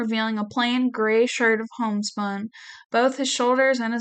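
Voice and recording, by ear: The speaker is reading aloud in a natural voice, with fairly even intonation.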